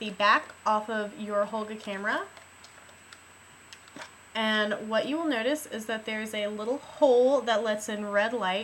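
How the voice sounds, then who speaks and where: A woman talks at a fairly slow pace with fairly even intonation over noticeable background noise. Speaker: film teacher. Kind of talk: how-to tutorial talk to camera. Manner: teacher-like, instructive.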